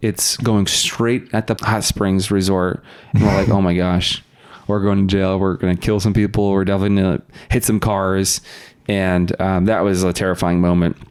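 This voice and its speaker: A man's fairly low, monotone voice with flat intonation and very even loudness, over noticeable background noise. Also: moderate pace. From US West, Sacramento area (Roseville, California). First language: Russian. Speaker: podcast guest. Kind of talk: casual chat.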